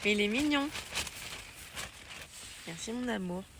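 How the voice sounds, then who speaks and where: A woman speaks over noticeable background noise. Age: 20s. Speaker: hiking vlogger. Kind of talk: casual talk to camera. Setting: outdoors. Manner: casual, chatty.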